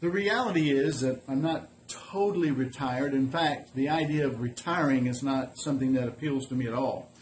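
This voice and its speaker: Noticeable background noise sits behind a man speaking at a fairly high pitch and a moderate pace. His loudness stays very even, his pitch varies in an ordinary way, and he hardly pauses. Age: 60s. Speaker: semi-retired small business owner and vlogger. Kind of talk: casual vlog monologue. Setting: woodworking shop. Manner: halting, with many fillers.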